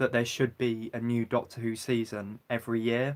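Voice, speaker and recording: Medium-pitched male voice with a British accent at a moderate pace, on a very clean recording with a silent background. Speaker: YouTuber livestreaming. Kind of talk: casual livestream chat. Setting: livestream. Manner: talking non-stop.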